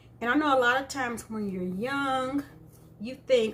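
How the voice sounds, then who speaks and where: A woman speaks in a relaxed tone at a high pitch with lively intonation. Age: 60s. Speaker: beauty and wig vlogger. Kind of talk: casual vlog talk to camera. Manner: relaxed with frequent fillers.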